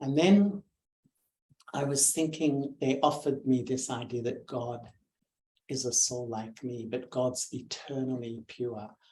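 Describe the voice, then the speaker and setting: In an Australian accent, a man talks at a fairly slow pace with a medium pitch, a dark, mellow tone, ordinary pitch variation and a somewhat breathy quality. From Australia, Melbourne. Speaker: meditation teacher. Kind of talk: spiritual talk, personal story.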